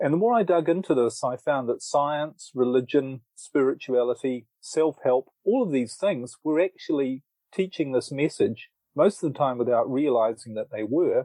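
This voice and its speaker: A lively, rising-and-falling delivery in a dark, mellow tone, recorded dry and close with no echo against a quiet background. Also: man, fairly high pitch for a man, moderate pace. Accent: New Zealand. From New Zealand. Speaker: author and relationship coach. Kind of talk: interview.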